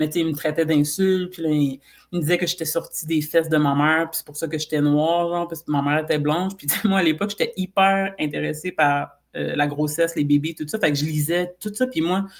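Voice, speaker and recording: At a fairly quick pace, a woman speaks in a very deep, low pitch. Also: fairly even intonation. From Quebec, Saint-Eustache. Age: 30s. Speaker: podcast guest. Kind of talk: casual chat.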